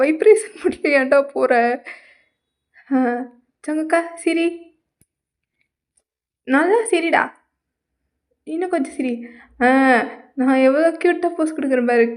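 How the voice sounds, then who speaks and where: This woman's voice sits at an extremely high pitch with ordinary pitch variation. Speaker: comedy voice-over artist. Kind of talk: comedy dub voice-over of a variety show. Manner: playful, exaggerated.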